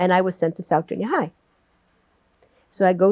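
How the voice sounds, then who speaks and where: A dark, mellow voice with a non-native accent, dry and close with no echo. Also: woman. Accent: noticeable foreign. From Malta. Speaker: retired teacher. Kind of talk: oral history interview.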